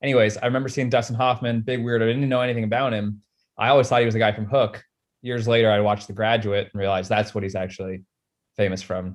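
Fairly even in intonation, a man talks at a very fast pace in a medium pitch. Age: 20s. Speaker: podcast host. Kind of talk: casual chat.

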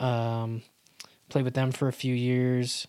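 A man with an American accent speaks in monotone, flat intonation. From US West (Utah). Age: 30s. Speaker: drummer and musician. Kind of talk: casual interview conversation.

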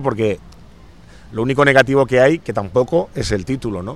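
A plain, everyday voice from a man, medium in pitch with ordinary pitch variation, at a fairly quick pace. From Spain, Catalonia (Santa Coloma de Gramenet). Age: 40s. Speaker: singer-songwriter. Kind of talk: radio interview.

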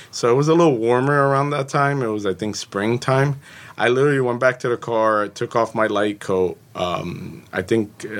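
On a very clean recording with a silent background, a man with an unremarkable speaking voice and an American accent talks at a moderate pace, medium pitch and ordinary pitch variation. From Jersey City, New Jersey. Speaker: home inspector and civil engineer. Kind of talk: podcast interview.

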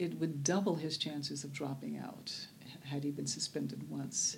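A woman talks at a moderate pace with an American accent. Noticeable background noise sits behind her. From US South, Birmingham, Alabama. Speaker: restorative justice activist and former civil rights attorney. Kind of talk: interview. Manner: measured with many fillers.

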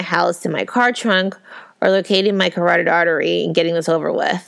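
Using a plain, everyday voice, a woman speaks at a fairly quick pace with fairly even intonation. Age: 30s. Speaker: podcast host. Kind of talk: reading aloud.

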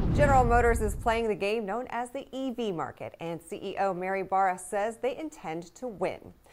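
A woman's fairly high voice at a moderate pace with ordinary pitch variation and hardly any pauses, set against noticeable background noise. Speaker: news anchor. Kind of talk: news reading, polished scripted broadcast delivery. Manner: formal, steady, crisp and even-paced.

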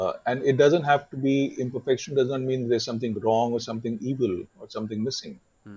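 A man at medium pitch, somewhat breathy, with ordinary pitch variation, big swings in loudness and a very fast pace. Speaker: photographer. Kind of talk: interview conversation. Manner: passionate.

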